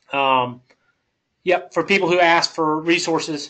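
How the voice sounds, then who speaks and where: This man talks in a Southern US accent. His tone is bright and sharp. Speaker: software company presenter. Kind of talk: webinar presentation. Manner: halting, many fillers.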